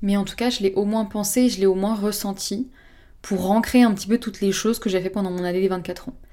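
A woman of medium pitch speaks at a fairly quick pace in a dark, mellow tone with monotone, flat intonation. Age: 20s. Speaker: podcaster. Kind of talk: personal monologue. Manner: smiling voice.

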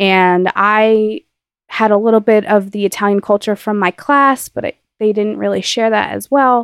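A woman with an American accent uses a plain, everyday voice of medium pitch, with ordinary pitch variation at a moderate pace. The sound is dry and close with no echo, over a quiet background. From New Jersey. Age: 20s. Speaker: magazine founder and editorial assistant. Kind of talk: interview.

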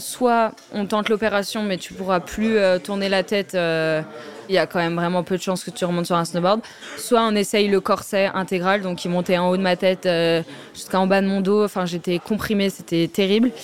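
A woman talks at a moderate pace in a medium pitch with fairly even intonation. Noticeable background noise is present. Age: 20s. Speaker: professional snowboarder. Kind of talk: interview testimony. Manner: hesitant, many fillers.

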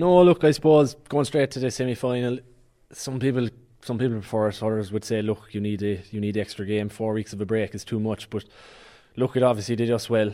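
This man speaks at a fairly quick pace with a Cork accent. His tone is dark and mellow. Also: medium pitch for a man, ordinary pitch variation. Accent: Cork Irish. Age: 20s. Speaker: Gaelic football team captain. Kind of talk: sports interview. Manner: hesitant, many fillers.

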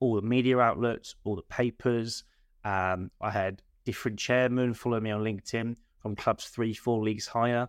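Someone with an English accent speaks at a moderate pace in a dry, close sound with no echo and a very clean, silent background. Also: man. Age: 20s. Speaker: football manager. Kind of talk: casual chat.

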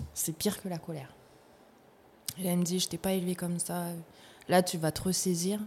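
A somewhat breathy woman talks at a fairly quick pace, broken by long, frequent pauses. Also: fairly low pitch for a woman. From New Caledonia, Nouméa. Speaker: actress. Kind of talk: casual interview. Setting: studio. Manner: animated.

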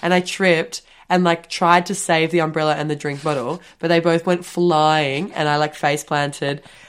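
The speaker uses an Australian accent with monotone, flat intonation. The recording is very clean, with a silent background. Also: woman, very deep, low pitch for a woman, moderate pace. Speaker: podcast co-host. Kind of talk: casual chat.

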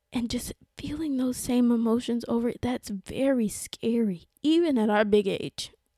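A woman with a high pitch and ordinary pitch variation speaks in a warm, enthusiastic tone, the sound dry and close with no echo. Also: moderate pace. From South Carolina, US. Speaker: podcast host. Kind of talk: solo podcast monologue. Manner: warm, enthusiastic, animated.

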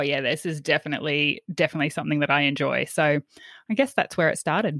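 On a very clean recording with a silent background, a woman talks at a very fast pace in an Australian accent. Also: dry, close sound with no echo. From Australia, central Queensland. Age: 30s. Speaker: former teacher, wellbeing coach and podcaster. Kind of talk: interview conversation.

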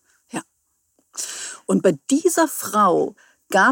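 A woman talks very slowly, recorded with a dry, close sound and no echo. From Hesse, near Friedberg. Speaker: spiritual medium. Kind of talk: interview.

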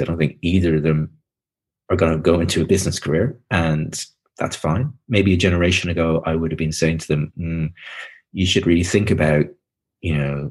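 With a Dublin accent, a man talks at a fairly quick pace in a very deep, low pitch. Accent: Dublin Irish. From Ireland, Dublin. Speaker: author. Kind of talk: interview. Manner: halting.

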